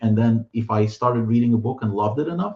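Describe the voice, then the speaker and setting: A man in a Russian accent, somewhat breathy, medium-pitched, with fairly even intonation at a fairly quick pace. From Soviet Union (Russian/Ukrainian-speaking), moved to US around 1990. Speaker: author and translator. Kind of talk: interview conversation. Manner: hesitant, many fillers and repeated words.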